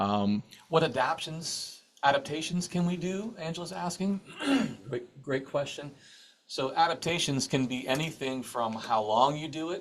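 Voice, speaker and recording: With an ordinary speaking voice, a man talks at a moderate pace, fairly high in pitch and lively in intonation. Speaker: sound healing teacher. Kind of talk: live online workshop Q&A. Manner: casual, with many fillers and repetitions.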